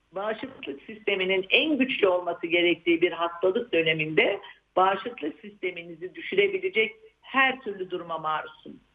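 A woman of medium pitch with an unremarkable speaking voice talks at a moderate pace with lively intonation. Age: 60s. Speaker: psychiatrist. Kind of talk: interview.

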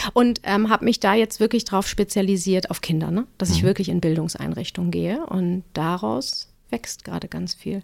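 With vocal fry and medium pitch, a woman speaks at a moderate pace with ordinary pitch variation and hardly any pauses, in a dry, close sound with no echo. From northern Germany, Cuxhaven. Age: 40s. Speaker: pediatric nurse and first-aid trainer. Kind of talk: casual interview.

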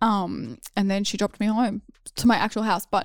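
A woman talks in an Australian accent at a medium pitch, with vocal fry and monotone, flat intonation. The recording is very clean, with a silent background. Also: dry, close sound with no echo. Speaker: former reality TV contestant. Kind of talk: casual chat.

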